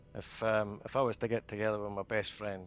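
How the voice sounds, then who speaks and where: Over music in the background, a man speaks at a fairly quick pace. His fairly low voice has monotone, flat intonation. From Scotland. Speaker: gamer. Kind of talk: casual chat. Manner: halting.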